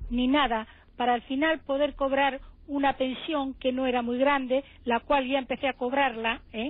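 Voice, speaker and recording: A woman with a high voice at a moderate pace. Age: 70s. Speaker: caller, affected investor. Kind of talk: testimony.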